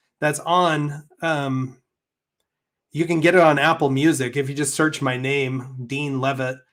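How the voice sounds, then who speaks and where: A man with an American accent at a moderate pace and fairly high pitch, on a very clean recording with a silent background. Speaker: YouTuber, crypto channel host. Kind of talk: live stream chat.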